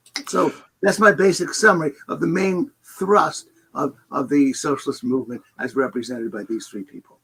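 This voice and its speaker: A man's voice sits fairly high and swings very widely in pitch. Vocal fry runs through it. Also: moderate pace. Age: 70s. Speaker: economist. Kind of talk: interview. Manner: halting.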